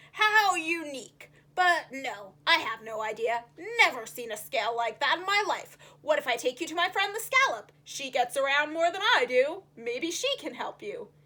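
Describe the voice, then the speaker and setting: The voice is an obvious put-on character. Its tempo is moderate. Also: woman, high pitch for a woman. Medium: read story. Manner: grumbling, chatty.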